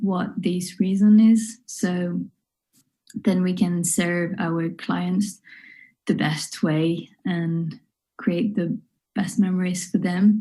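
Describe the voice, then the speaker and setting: A woman's somewhat breathy voice with a French accent, medium in pitch, dark and mellow in tone, fairly even in intonation, at a very slow pace over a quiet background. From northwest France, near Nantes. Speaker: wedding and family photographer. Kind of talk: online workshop talk. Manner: hesitant, many fillers.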